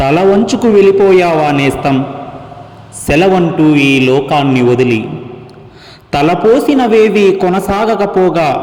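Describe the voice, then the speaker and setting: Lively intonation and very even loudness come through over noticeable background noise. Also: man, high pitch for a man. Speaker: singer and dubbing artist. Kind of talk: poetry reading. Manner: mournful, emotional.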